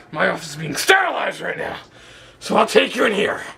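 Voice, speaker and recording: A raspy, put-on character voice from a man at a very fast pace. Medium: audio drama. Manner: abrupt, fussy.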